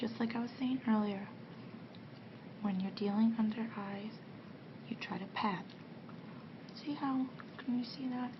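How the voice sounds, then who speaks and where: Soft-spoken with a gentle tone, a woman talks at a fairly slow pace with fairly even intonation and long, frequent pauses amid noticeable background noise. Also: fairly high pitch for a woman. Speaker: ASMR artist playing a makeup artist. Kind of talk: ASMR roleplay, soft-spoken talk to the listener. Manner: soft-spoken, gentle.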